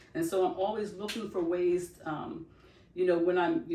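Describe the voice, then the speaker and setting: A woman's fairly even intonation comes through with audible room echo. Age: 60s. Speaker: loctician and podcast co-host. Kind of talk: casual podcast chat. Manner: halting, many fillers.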